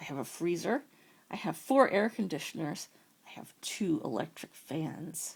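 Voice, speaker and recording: A woman puts on a raspy character voice, fairly low in pitch, at a moderate pace in a very clean recording with a silent background. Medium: read story. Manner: calm, matter-of-fact.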